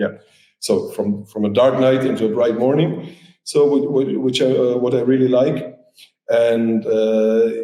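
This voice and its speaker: A man with a medium-pitched, dark, mellow voice talks at a fairly slow pace with ordinary pitch variation and very even loudness, with audible room echo around him. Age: 40s. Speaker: DJ and artist manager. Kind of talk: podcast interview. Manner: hesitant, many fillers.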